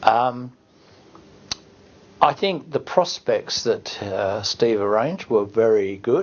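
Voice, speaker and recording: Lively in intonation yet very slow, a man with an Australian accent and medium pitch speaks with long, frequent pauses. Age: 60s. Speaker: retiring financial planner. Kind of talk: testimonial. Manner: hesitant, many fillers.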